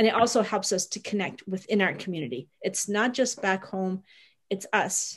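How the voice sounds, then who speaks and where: A somewhat breathy woman's voice over a quiet background. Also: ordinary pitch variation, moderate pace. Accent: Canadian. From Niagara, Ontario; Ontario. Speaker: bed and breakfast owner, migrant worker supporter; panelist. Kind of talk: webinar presentation. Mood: earnest, caring. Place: home room. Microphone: video call.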